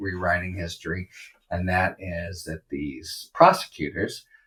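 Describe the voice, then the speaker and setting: A man with an American accent, very deep and low in pitch, at a fairly slow pace. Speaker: legal analyst podcast host. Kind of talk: solo commentary. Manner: even-keeled.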